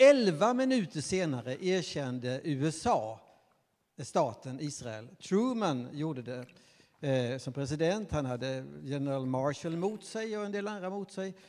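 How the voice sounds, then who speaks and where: A man speaks at a fairly slow pace with a fairly high pitch. His pitch swings very widely. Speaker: professor of religious studies. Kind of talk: panel discussion. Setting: stage with audience. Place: stage. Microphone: handheld.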